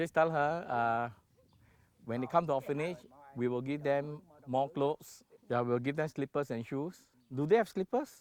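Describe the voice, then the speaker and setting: With a Singaporean accent, a man speaks at a fairly high pitch and moderate pace, using ordinary pitch variation and long, frequent pauses, in a dry, close sound with no echo. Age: 60s. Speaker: charity founder. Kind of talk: documentary interview. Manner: hesitant.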